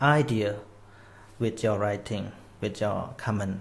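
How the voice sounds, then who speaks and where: A man with a Khmer accent talks at a fairly slow pace in a fairly low, somewhat breathy voice. His intonation stays fairly even, and the room echo is audible. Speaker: Buddhist Dhamma teacher. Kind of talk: live online Dhamma talk. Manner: non-native, slightly halting English.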